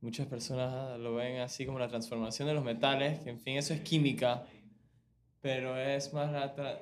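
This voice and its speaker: A man with a Panamanian accent speaks at a moderate pace in a flat, monotone delivery, with audible echo from the room. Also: medium pitch for a man. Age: 20s. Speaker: medical student. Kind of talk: casual chat.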